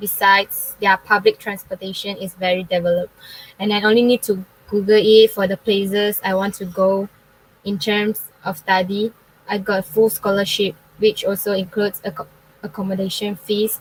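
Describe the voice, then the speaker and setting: A woman at a medium pitch and moderate pace, monotone and flat, dry and close with no echo, amid noticeable background noise. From Malaysia, Klang, Selangor. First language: Chinese. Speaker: university student. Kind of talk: forum panel talk. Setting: online live forum.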